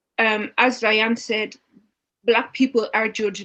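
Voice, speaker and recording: A woman with a strong Dublin accent and a fairly high pitch. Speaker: panelist. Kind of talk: panel discussion.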